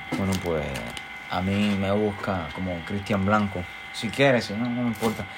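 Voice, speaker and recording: A man with a Puerto Rican accent, fairly low pitch and a fairly slow pace, amid audible room echo and noticeable background noise. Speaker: podcast co-host. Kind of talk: casual chat. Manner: animated.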